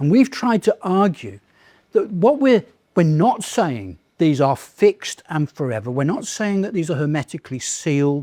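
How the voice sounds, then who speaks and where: Speaking with a British accent, a man with a high pitch uses very wide pitch swings at a moderate pace in a dry, close recording with no echo. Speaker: lecturer in political theology. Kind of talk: lecture Q&A answer.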